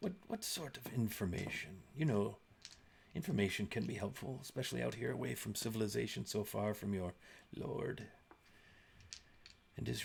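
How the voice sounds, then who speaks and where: In a put-on character voice, a man speaks at a moderate pace with a gravelly, fairly low pitch, very wide pitch swings, and long, frequent pauses. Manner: sinister, probing.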